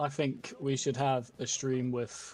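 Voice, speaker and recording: A man with a British accent talks at a fairly slow pace. His pitch is medium, with ordinary variation. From Britain. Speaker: gaming streamer. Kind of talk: casual chat.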